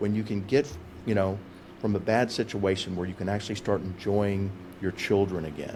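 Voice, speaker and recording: Quick-ish in pace, a man talks in an unremarkable speaking voice that sits fairly low, with fairly even intonation. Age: 60s. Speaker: defense and family lawyer. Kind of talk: interview podcast.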